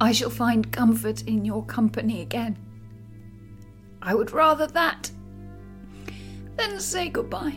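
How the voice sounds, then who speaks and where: A woman's shaky, tearful put-on character voice, fairly slow, with long, frequent pauses and clear music in the background. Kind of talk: audio drama acting. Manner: trembling, pleading, tearful.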